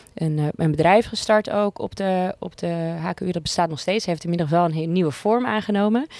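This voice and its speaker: In an ordinary speaking voice, a woman with a fairly low pitch talks at a moderate pace with ordinary pitch variation and hardly any pauses. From Amsterdam, Netherlands. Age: 30s. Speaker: music supervisor for television. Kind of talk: casual interview. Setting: podcast studio.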